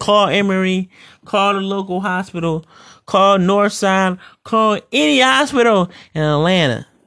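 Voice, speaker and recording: An angry, raised and projected man's voice with an American accent, high pitch, a bright, sharp tone, ordinary pitch variation and a fairly slow pace. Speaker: podcast host and pro wrestler. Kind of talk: solo podcast monologue, rant. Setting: home recording. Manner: angry, aggressive, threatening rant with sighs and profanity.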